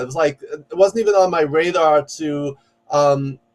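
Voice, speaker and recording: A man's fairly high voice with ordinary pitch variation and a New York accent. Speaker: executive coach and professor. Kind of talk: podcast interview. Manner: loud; fast.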